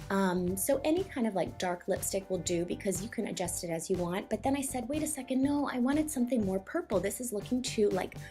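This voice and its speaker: A woman speaks at a very fast pace with hardly any pauses and very wide pitch swings. Music plays in the background. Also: medium pitch for a woman. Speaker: makeup tutorial vlogger. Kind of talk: tutorial. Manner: casual, filler-heavy.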